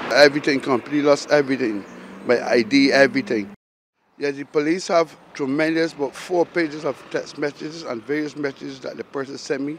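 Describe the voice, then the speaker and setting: In a Barbadian accent, the speaker talks at a fairly quick pace with ordinary pitch variation. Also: man. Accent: Barbadian (Bajan). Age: 60s. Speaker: fire victim. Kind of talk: news interview.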